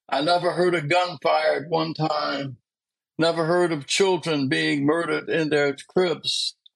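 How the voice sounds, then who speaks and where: The speech moves at a fairly slow pace, flat and monotone in intonation, with very even loudness. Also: man, fairly high pitch for a man. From US Northeast, Philadelphia. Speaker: community activist and author. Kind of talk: interview.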